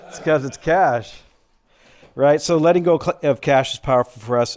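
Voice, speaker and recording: Recorded very cleanly against a silent background, a man with an American accent speaks at a moderate pace with ordinary pitch variation. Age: 60s. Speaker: financial presenter. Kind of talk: presentation to a lunch audience. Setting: luncheon event with audience. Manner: casual, conversational.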